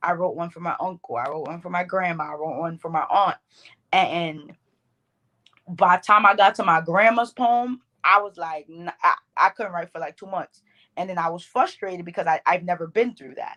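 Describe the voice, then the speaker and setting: A woman speaks at a moderate pace with a fairly low pitch, a bright, sharp tone and ordinary pitch variation. Her loudness swings widely, and the sound is dry and close with no echo. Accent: Bronx. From New York, the Bronx. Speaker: poet. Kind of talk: podcast interview.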